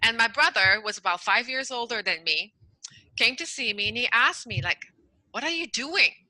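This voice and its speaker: Speaking in a Quebec accent at a fairly quick pace, a woman with a high pitch and lively intonation leaves long, frequent pauses. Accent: Canadian French accent in English. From French Canada. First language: French. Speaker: emotional intelligence coach. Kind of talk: interview.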